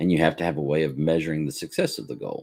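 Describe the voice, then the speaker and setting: A man talks at a very fast pace. His very deep, low voice carries vocal fry. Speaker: graduate student studying on stream. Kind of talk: study session, reading aloud and commenting.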